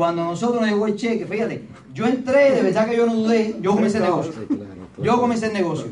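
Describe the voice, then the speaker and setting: A high-pitched man with lively intonation and an animated tone, heard through audible room echo. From Cuba, Pinar del Río. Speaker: motivational business speaker. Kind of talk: motivational talk to audience.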